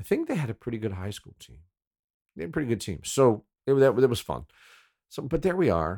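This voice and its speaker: A man speaks at a fairly quick pace with a relaxed tone, medium pitch, vocal fry and a dark, mellow tone, his pitch swinging very widely and his loudness shifting a lot. Long, frequent pauses break up his speech, and the sound is dry and close with no echo. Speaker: former radio DJ, podcast host. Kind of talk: casual storytelling monologue. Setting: home recording, solo. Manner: relaxed, rambling.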